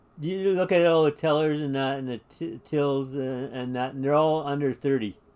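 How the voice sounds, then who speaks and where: At a moderate pace, a man talks in a fairly high pitch with ordinary pitch variation. It is an ordinary speaking voice. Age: 60s. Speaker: live-stream gaming host. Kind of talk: casual chat.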